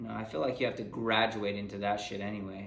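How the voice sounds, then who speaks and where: A man's fairly low, monotone and flat voice amid audible room echo. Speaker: podcast host. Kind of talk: casual chat. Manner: casual, rambling.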